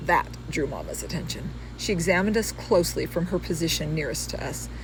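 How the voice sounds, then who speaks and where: A woman talks at a fairly quick pace with an American accent. Audible room echo surrounds her voice. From California. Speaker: author. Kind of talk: reading aloud. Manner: casual asides.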